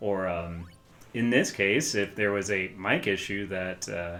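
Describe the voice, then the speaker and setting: A man speaking at a very slow pace over background music. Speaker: gaming streamer. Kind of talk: casual gameplay commentary. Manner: hesitant, many fillers.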